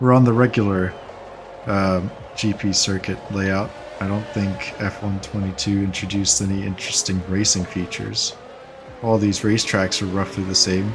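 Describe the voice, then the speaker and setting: Music plays in the background as a man with a fairly low pitch speaks at a moderate pace in a relaxed tone with monotone, flat intonation. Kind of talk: gameplay commentary. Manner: casual, relaxed.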